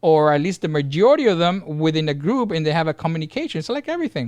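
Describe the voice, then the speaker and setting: A man speaks at a high pitch and a fairly quick pace, with very wide pitch swings. The background is quiet. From Cuba. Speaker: podcast co-host, gaming parent. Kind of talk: casual chat. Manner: loud; animated, repeats words when excited.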